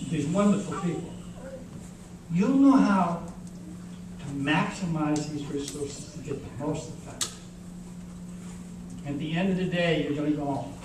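At a moderate pace and with ordinary pitch variation, a man speaks with long, frequent pauses amid noticeable background noise and audible room echo. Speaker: keynote speaker. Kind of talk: graduation keynote speech. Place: hall.

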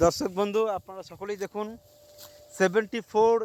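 A man with a high pitch speaks with fairly even intonation, and the sound is dry and close with no echo. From West Bengal, Purba Bardhaman. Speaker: village vlogger. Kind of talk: outdoor vlog to camera. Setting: outdoors, rice field.

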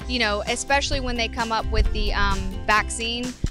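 Clear music plays in the background as a woman speaks at a moderate pace. The sound is dry, with no echo. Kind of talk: interview answer. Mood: optimistic, hopeful. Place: street. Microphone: handheld.

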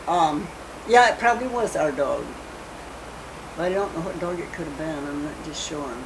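A woman with a fairly low pitch speaks at a moderate pace, her intonation lively and her loudness swinging widely. Noticeable background noise is present. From US Midwest. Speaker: grandmother telling family history. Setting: home interview, family video recording. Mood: calm, reminiscing, sometimes amused. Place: home room. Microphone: old recording.

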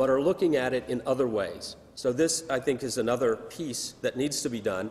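Ordinary pitch variation from a man at a moderate speed. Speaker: conference presenter. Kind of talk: lecture. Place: hall. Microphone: podium.

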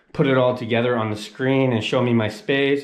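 Audible room echo surrounds the recording. A man talks with ordinary pitch variation. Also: quiet background. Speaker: travel vlogger. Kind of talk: casual vlog chat. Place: home room. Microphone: phone near.

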